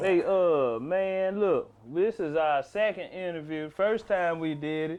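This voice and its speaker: Speaking with a Southern accent, a man uses a high pitch with ordinary pitch variation. He goes at a very slow pace. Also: hardly any pauses. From US South, South Memphis, Tennessee. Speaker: comedian and podcast host. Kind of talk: casual chat.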